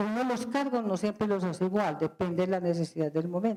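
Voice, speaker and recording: Lively intonation and a dark, mellow tone from a woman at a moderate pace. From Colombia, Medellín. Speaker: company president. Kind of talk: guest lecture.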